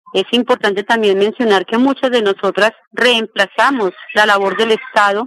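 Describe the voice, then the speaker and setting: Recorded dry and close with no echo, a woman with an unremarkable speaking voice talks at a moderate pace, fairly high in pitch with ordinary pitch variation. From Colombia, Meta (Granada). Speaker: social activist. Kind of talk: interview testimony. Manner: formal.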